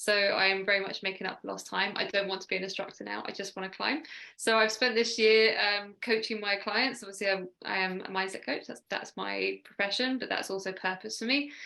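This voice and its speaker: A woman with a southern English accent speaks fairly quickly at a medium pitch, her tone bright and sharp, her intonation fairly even, with hardly any pauses. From southern England (Sussex). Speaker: mindset coach. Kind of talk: radio interview. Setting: video call.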